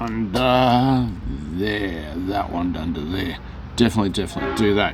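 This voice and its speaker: A man's very deep, low voice with very wide pitch swings over noticeable background noise. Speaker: rc hobby store owner. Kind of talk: tutorial. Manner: fast; casual, halting with fillers.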